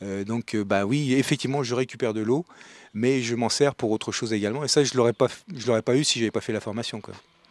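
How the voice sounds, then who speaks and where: Speaking at a very fast pace, a man keeps a medium pitch and fairly even intonation. The sound is dry and close, with no echo. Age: 60s. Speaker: retired executive, training participant. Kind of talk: interview testimony. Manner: halting, many hesitations.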